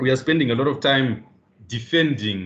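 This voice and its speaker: Speaking at medium pitch with ordinary pitch variation, a man has an ordinary speaking voice. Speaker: business leader panelist. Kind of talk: seminar presentation.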